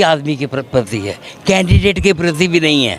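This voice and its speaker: Noticeable background noise sits under a man's voice, pitched fairly high. He talks at a moderate pace with lively intonation. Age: 70s. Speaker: voter, local resident. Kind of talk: street interview.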